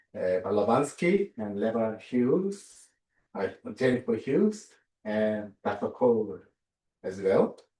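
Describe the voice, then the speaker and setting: Music plays behind a man with a Korean accent who speaks at a very slow pace. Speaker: theology professor and minister. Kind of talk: lecture. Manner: halting, many fillers.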